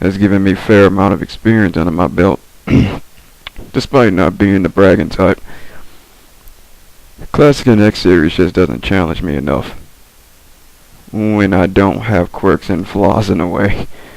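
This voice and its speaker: Speaking at a moderate pace with long, frequent pauses, a man with a very deep, low voice is heard over noticeable background noise. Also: ordinary pitch variation. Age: young. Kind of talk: casual gaming commentary. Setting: headset mic.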